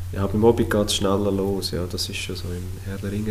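Through noticeable background noise and audible room echo, a man speaks at a moderate pace in a monotone, flat intonation. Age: 30s. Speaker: podcast co-host, construction site manager. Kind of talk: casual chat.

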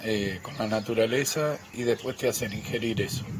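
Amid noticeable background noise, a man talks at a medium pitch with fairly even intonation. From Argentina, Quilmes. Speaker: caller with recorded question. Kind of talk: recorded listener question. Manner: halting.

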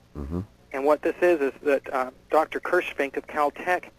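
The sound is dry and close with no echo as a man with a fairly high pitch speaks at a moderate pace. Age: 30s. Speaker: UFO researcher. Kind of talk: radio interview.

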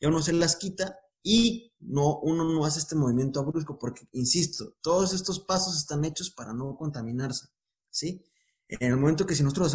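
A somewhat breathy voice with ordinary pitch variation, moving at a fairly quick pace. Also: man. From Mexico, Guadalajara. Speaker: intensive care physician. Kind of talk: casual interview chat.

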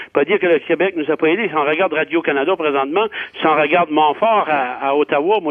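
At a moderate pace, a man with a high pitch speaks with ordinary pitch variation. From Acadia, New Brunswick. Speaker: member of parliament. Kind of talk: radio panel discussion.

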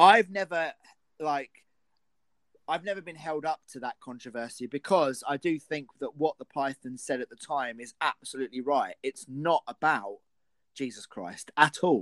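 In a southern English accent, a man with a fairly high pitch speaks at a moderate pace with lively intonation and big swings in loudness, the sound dry and close with no echo. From England. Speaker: film podcast host. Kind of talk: casual chat.

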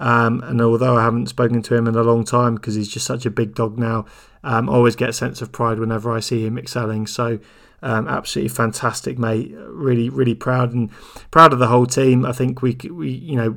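A man's fairly bright tone with vocal fry and little pitch movement. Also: medium pitch for a man, fairly quick pace.

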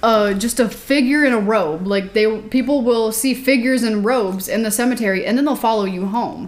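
Amid noticeable background noise, a woman speaks with ordinary pitch variation. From small rural town. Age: 20s. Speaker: paranormal youtuber, ghost hunter. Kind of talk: casual chat.

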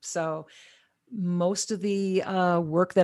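The woman has a normal speaking voice. She keeps a fairly even intonation. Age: 50s. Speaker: cannabis wellness coach. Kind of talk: casual interview. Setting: remote from home.

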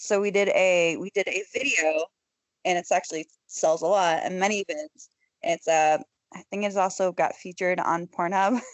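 Hers is a normal speaking voice at medium pitch, with a moderate pace and ordinary pitch variation. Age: 30s. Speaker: adult film performer. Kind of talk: casual chat. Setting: video call. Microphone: Skype connection with word dropouts.

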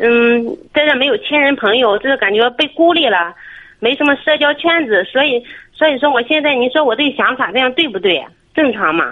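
A woman's high-pitched voice at a moderate pace, with lively intonation and very even loudness. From Shandong, near Jinan. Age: 30s. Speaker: caller. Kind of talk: phone-in advice talk.

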